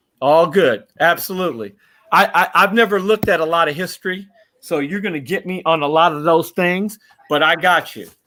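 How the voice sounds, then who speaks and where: Talking at a fairly quick pace, a man uses high pitch with ordinary pitch variation. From Los Angeles. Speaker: bowler. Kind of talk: interview. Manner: halting.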